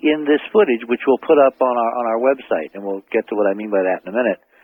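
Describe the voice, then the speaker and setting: Using a plain, everyday voice, a man speaks at medium pitch with lively intonation. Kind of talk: radio interview answer.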